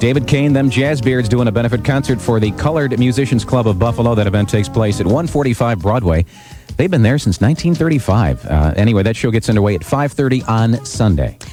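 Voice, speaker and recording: Over music in the background, a man at a medium pitch talks at a very fast pace with lively intonation and very even loudness. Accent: American. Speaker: radio host. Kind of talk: morning radio DJ talk. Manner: relaxed, casual.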